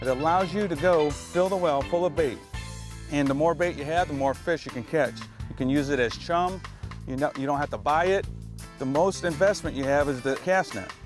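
A man with an American accent talks at a fairly quick pace with ordinary pitch variation, his voice dry with no echo while clear music plays in the background. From Florida, USA. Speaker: fishing guide. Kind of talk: instructional demonstration to camera. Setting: outdoors on a boat. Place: boat.

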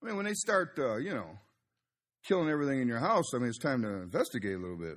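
A man's medium-pitched, very fast speech with very wide pitch swings. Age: 60s. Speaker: Baptist preacher. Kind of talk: Bible study teaching. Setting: church. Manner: conversational, frequent filler words.

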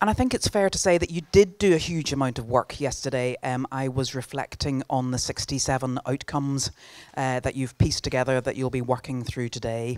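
Over a quiet background, a woman with a very deep, low pitch talks at a moderate pace with ordinary pitch variation. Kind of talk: welcome address. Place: hall. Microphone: handheld.

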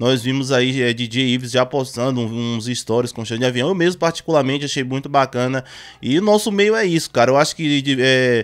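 A man speaks at a moderate pace with ordinary pitch variation. Behind him, the background stays quiet. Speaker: music news youtuber. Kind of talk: commentary. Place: home room. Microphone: studio mic.

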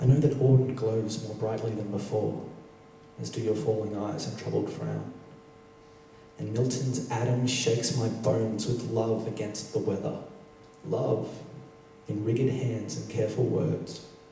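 A man speaks with fairly even intonation and long, frequent pauses. Audible room echo and light background noise are present. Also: moderate pace. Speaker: poet performer. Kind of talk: poetry reading. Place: stage.

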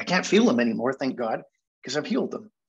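A man's voice with very wide pitch swings. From Manchester, England, then Canada; England. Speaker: hypnotherapy speaker; speaker. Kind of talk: storytelling presentation. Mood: reflective, nostalgic childhood story. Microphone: video call.

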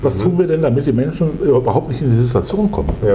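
Light background noise sits behind a man whose intonation is lively. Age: 50s. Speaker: politician, pension spokesman. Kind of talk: interview answer. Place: meeting room.

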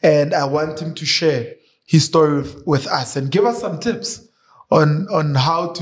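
A man with a plain, everyday voice speaks at a moderate pace against a quiet background. His pitch is fairly high, with ordinary pitch variation. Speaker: YouTube show host. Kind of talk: interview conversation. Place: studio. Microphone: studio mic.

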